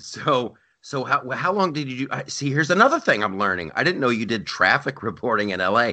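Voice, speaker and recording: A man talks with an American accent at a medium pitch. His pitch swings are very wide. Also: moderate pace. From US Midwest, Columbus Ohio. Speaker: comedian and podcast host. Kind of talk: casual chat. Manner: animated.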